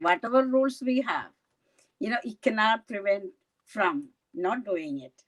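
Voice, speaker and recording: A woman talks at a moderate pace with lively intonation while music plays in the background. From India, Kerala. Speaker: county legislator. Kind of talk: interview. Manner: halting.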